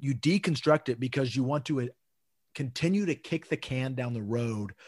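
A man with an American accent speaks in a somewhat breathy voice. The recording is very clean, with a silent background and a dry, close sound with no echo. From Texas. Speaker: podcast co-host. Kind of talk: casual conversation podcast. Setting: home recording in apartment.

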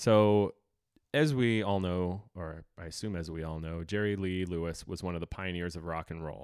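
A man with a very deep, low pitch speaks at a moderate pace with ordinary pitch variation. It's a very clean recording with a silent background. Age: 30s. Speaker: podcast host. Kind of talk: casual chat.

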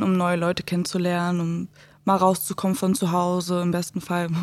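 A woman with a medium pitch speaks in a very clean recording with a silent background. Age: 20s. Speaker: social work student. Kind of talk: casual chat.

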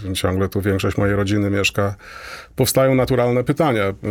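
Fairly low male speech, fairly brisk in tempo and ordinary in pitch movement. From Poland, Toruń. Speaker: astronomy professor. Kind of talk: interview. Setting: radio studio. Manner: halting.

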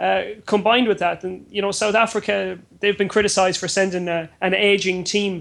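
The speech moves at a fairly quick pace in a flat monotone, with hardly any pauses. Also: man, high pitch for a man. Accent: Irish. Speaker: football journalist. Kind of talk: sports panel discussion.

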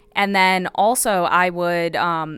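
A woman with a Midwestern American accent, fairly low-pitched, at a fairly slow pace with fairly even intonation, on a very clean recording with a silent background. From US Midwest, Illinois. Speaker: psychology professor. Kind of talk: interview.

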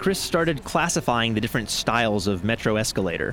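Over music in the background, a man with an American accent talks at a fairly quick pace, his pitch swinging very widely. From US South, Florida suburbs. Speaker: radio reporter. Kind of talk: radio documentary narration. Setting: metro station escalator.

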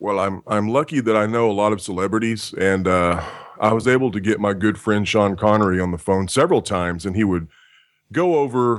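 A man with an American accent, fairly low pitch and lively intonation, at a moderate pace, very clean recording with a silent background. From Texas. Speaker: voice actor. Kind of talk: interview.

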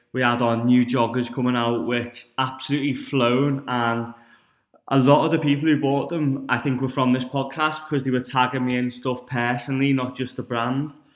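A man with a northern English accent speaks at a moderate pace. His medium-pitched voice stays monotone and flat. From northern England. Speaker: fitness podcast host. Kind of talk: solo podcast monologue.

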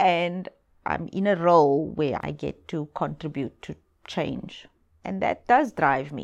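On a very clean recording with a silent background, a woman speaks very slowly at a fairly low pitch with vocal fry. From South Africa, Cape Town townships. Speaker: human rights lawyer and foundation director. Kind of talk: interview. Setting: office.

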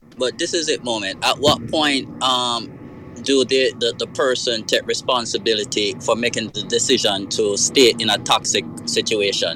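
Music plays behind a man speaking at a moderate pace. His voice sits at a medium pitch with ordinary pitch variation. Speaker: caller. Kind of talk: call-in discussion. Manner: halting.

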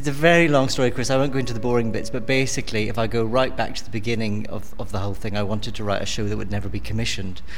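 A man with a medium pitch talks at a very fast pace, barely pausing and showing ordinary pitch variation. Noticeable background noise is present. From Northern Ireland, Belfast. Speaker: musical writer and creator. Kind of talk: interview.

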